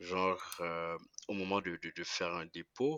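This man's pitch is very deep and low. His delivery comes at a fairly slow pace. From DR Congo. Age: 20s. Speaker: entrepreneur. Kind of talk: interview. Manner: halting.

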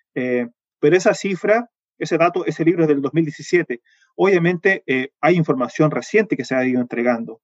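The intonation is lively, with a dry, close sound and no echo. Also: man, fairly high pitch for a man. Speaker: entomologist and university researcher. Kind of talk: interview. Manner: fast; hesitant, many fillers.

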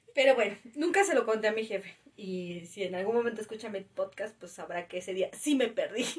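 A woman with a plain, everyday voice speaks at a fairly quick pace and a fairly high pitch, with ordinary pitch variation and big swings in loudness. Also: hardly any pauses. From Mexico City. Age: 30s. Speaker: podcast co-host, parent. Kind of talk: casual chat.

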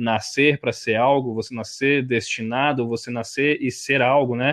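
A man uses a plain, everyday voice at medium pitch with fairly even intonation. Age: 20s. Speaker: sports journalist. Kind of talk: casual interview chat.

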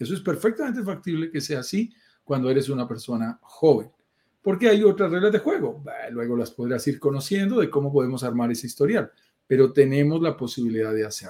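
This man's voice is fairly high in pitch with a dark, mellow tone. He speaks at a fairly quick pace, and his pitch swings very widely. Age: 50s. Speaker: real estate investment show host. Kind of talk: casual chat.

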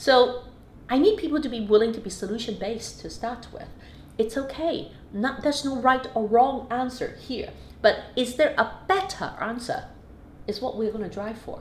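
With noticeable background noise and audible room echo, a woman speaks at a high pitch with lively intonation and big swings in loudness. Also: moderate pace. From Hong Kong. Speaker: business executive. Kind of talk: interview. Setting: office.

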